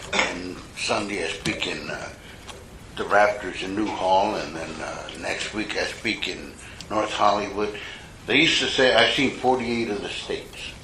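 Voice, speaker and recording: Through noticeable background noise and audible room echo, a man with a fairly low voice speaks at a moderate pace with ordinary pitch variation. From US Southwest, Mexican-American barrio. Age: 70s. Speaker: recovery meeting speaker. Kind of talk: testimony. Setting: stage with audience. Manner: casual, profane storytelling.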